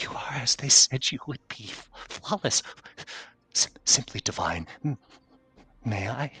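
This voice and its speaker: A man puts on a soft-spoken, shaky character voice at a medium pitch, with lively intonation and big swings in loudness. He goes at a fairly slow pace with long, frequent pauses. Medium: actual play. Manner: stammering, trembling, reverent.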